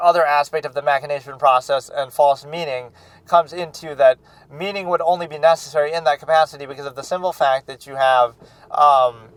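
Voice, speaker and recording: A man's fairly high voice at a fairly quick pace, fairly even in intonation, with big swings in loudness, music in the background, and a dry, close sound with no echo. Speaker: film reaction channel host. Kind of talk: philosophical monologue. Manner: halting.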